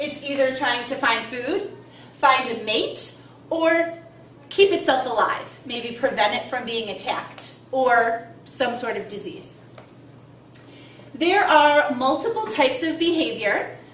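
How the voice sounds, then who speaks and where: A woman speaks in a high voice at a fairly slow pace, her intonation lively. Noticeable background noise and audible room echo are present. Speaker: biology teacher. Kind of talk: lecture.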